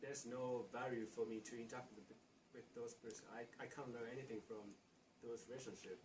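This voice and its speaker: With a Japanese accent, a man talks fairly quickly at a medium pitch in a somewhat breathy, monotone voice with flat intonation. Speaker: international student. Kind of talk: interview. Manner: halting.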